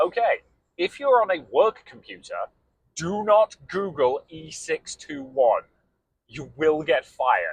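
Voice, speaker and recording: A man with a British accent talks. His pace is very slow. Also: big swings in loudness, dry, close sound with no echo. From England. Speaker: podcast co-host. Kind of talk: casual chat. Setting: in a car.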